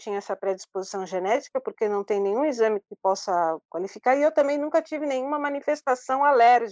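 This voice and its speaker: With lively intonation and an ordinary speaking voice, a woman talks at a fairly quick pace against a quiet background, the sound dry and close with no echo. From Brazil, São Paulo. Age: 50s. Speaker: traveler with low vision. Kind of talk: interview.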